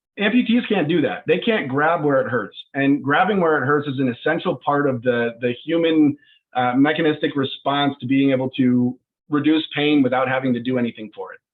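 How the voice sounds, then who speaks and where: A man's fairly quick speech, an ordinary speaking voice at a fairly high pitch with ordinary pitch variation. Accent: American. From US, Northern Colorado. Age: 20s. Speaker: startup CEO. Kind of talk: video call presentation.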